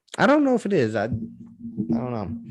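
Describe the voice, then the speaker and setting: A man speaks over music playing in the background. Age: 20s. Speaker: podcast host. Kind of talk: casual chat.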